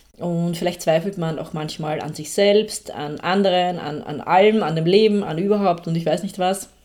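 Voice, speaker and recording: A woman with a dark, mellow tone and fairly low pitch talks at a moderate pace with hardly any pauses and fairly even intonation. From Austria. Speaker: podcast host, personal development coach. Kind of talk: casual monologue, self-help talk.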